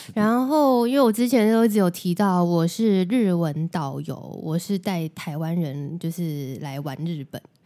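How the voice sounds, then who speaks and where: The recording is very clean, with a silent background. A woman with a fairly low pitch and a dark, mellow tone talks with lively intonation and hardly any pauses. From Taiwan. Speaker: podcast host and Japanese-language tour guide. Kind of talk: casual chat.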